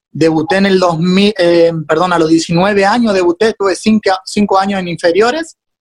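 With ordinary pitch variation, a man talks at a moderate pace in a high pitch. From Corrientes capital, Argentina. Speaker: professional footballer. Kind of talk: casual interview. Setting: video call from Mexico.

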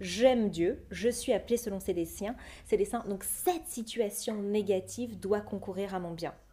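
The woman speaks at a fairly slow pace with a medium pitch and ordinary pitch variation. Her tone is dark and mellow and somewhat breathy. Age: 30s. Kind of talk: testimony.

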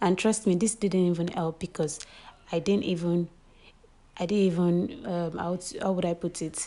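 A woman speaks in a dark, mellow tone at a moderate pace with fairly even intonation. Her speech has long, frequent pauses. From Nigeria, Lagos. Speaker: podcaster. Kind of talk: personal monologue. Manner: halting.

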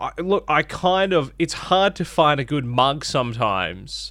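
With an Australian accent, a man speaks at a fairly high pitch, his intonation lively and touched by vocal fry. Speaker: radio host. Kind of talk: radio DJ patter, breezy breakfast-show banter with jingles and ad tags. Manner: animated.

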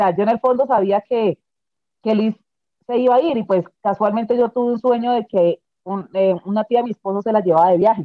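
In a normal speaking voice, a woman with a fairly high pitch talks at a fairly quick pace. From Colombia. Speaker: bereaved mother. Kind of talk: testimony.

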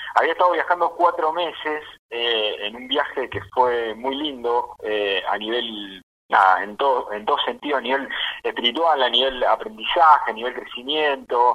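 At a moderate pace, a man speaks with medium pitch and ordinary pitch variation. His loudness swings by a lot. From Argentina, Balcarce (Buenos Aires province). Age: 30s. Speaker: actor and theatre teacher. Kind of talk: interview. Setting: phone call. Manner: halting, many fillers and repetitions.

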